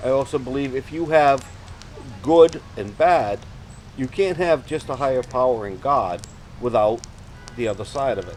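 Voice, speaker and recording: A man's medium-pitched voice at a moderate pace, with lively intonation, big swings in loudness, long and frequent pauses, and music in the background. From Rhode Island, New England. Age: 60s. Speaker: interviewee recounting paranormal experience. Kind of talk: interview. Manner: halting.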